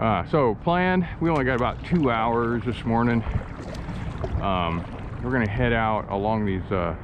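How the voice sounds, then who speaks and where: This man talks at a moderate pace with a fairly low pitch. There is noticeable background noise, and the sound is dry with no echo. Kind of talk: casual vlog chat. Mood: relaxed, cheerful. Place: boat. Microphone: phone near.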